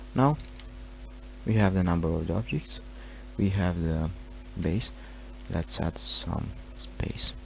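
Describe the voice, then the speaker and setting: Very slow, somewhat breathy speech with long, frequent pauses. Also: man. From Romania. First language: Romanian. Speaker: gaming tutorial creator. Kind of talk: tutorial. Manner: halting.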